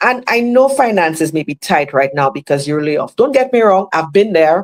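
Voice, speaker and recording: With a Caribbean accent, a woman speaks at a medium pitch with very wide pitch swings, on a very clean recording with a silent background. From Saint Lucia. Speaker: motivational speaker. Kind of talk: motivational talk. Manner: animated.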